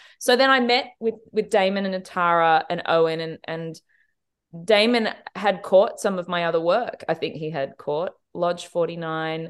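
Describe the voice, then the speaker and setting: A woman speaks with an Australian accent at a moderate pace against a quiet background. Her pitch is fairly low, with ordinary pitch variation. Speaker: TV director. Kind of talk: interview.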